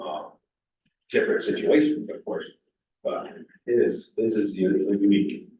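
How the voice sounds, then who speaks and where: A man speaks with long, frequent pauses, and room echo is audible. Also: moderate pace. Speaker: zoning board member. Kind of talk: public meeting discussion. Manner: loud.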